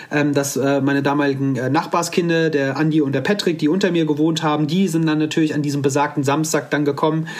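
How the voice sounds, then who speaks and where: The speech moves at a fairly quick pace with fairly even intonation, and there is noticeable background noise. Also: man. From Hesse, Offenbach area near Frankfurt. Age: 30s. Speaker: bone cancer survivor, one-legged mountaineer. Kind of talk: interview, personal story. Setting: video call from home.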